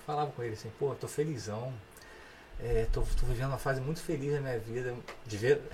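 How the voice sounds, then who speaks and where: A man at medium pitch talks at a fairly quick pace with fairly even intonation and long, frequent pauses. Audible room echo and noticeable background noise are present. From Petrópolis, Rio de Janeiro state, Brazil. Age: 40s. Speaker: musician. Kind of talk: casual chat.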